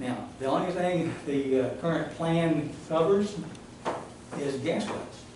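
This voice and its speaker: The pitch variation is ordinary. Both background noise and room echo are noticeable. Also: man. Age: 70s. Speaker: environmental activist, public commenter. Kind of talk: public comment at county meeting. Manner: halting, many fillers.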